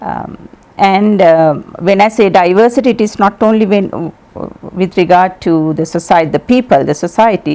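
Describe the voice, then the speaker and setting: A woman's dark, mellow tone with a Sri Lankan accent and ordinary pitch variation. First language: Sinhala. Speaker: ambassador. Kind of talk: TV interview.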